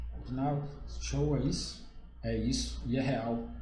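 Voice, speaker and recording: A man at a moderate pace, with audible room echo around him. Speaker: accountant. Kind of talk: live stream Q&A, informal presentation. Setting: live stream.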